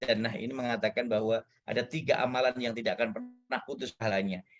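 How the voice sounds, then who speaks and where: A man talks at a fairly quick pace and medium pitch with ordinary pitch variation. Music plays in the background. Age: 40s. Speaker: guest lecturer. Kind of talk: lecture. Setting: guest lecture to students. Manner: animated.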